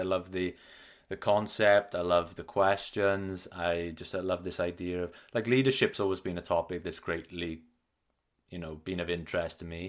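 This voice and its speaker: A man with a Welsh accent and a very deep, low pitch, his intonation fairly even, against a quiet background. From Wales. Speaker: podcast host. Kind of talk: casual interview chat. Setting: remote podcast recording.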